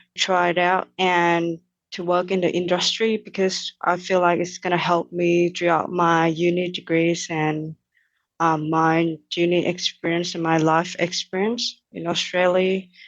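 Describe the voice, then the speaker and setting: A woman with a Thai accent, fairly low-pitched, fairly slow, and fairly even in intonation. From Thailand, Bangkok. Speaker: engineering cadet. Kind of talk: interview. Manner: halting, many fillers.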